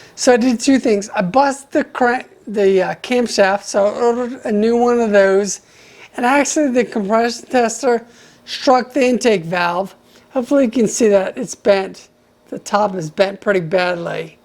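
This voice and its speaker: There is noticeable background noise behind a woman whose voice is fairly high. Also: ordinary pitch variation, moderate pace. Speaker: DIY video maker. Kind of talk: tutorial. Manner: halting.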